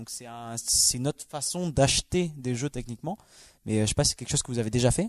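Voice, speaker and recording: This man talks at a very fast pace in a medium pitch, with ordinary pitch variation. His loudness swings a lot, and the sound is dry and close with no echo. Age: 20s. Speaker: logistics worker, video game guest. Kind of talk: casual chat.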